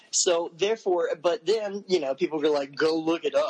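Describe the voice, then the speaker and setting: Moderate pace, ordinary pitch variation and an ordinary speaking voice from a man. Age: 30s. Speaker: musician. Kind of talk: casual chat.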